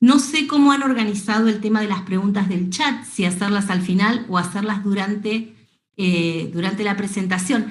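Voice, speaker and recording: A somewhat breathy woman with an Argentine accent, with audible room echo. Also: medium pitch for a woman, ordinary pitch variation, moderate pace. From Argentina. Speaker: veterinarian. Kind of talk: lecture.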